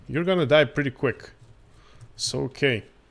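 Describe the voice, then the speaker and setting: A man in a Croatian accent, fairly slow, with lively intonation. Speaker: gaming streamer. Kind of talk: live gameplay commentary. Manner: halting.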